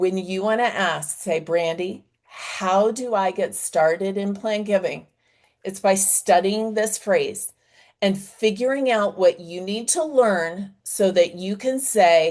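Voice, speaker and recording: A woman with an American accent speaks at a very slow pace, her medium pitch showing ordinary variation. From US South. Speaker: fundraising consultant. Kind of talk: webinar presentation. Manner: animated.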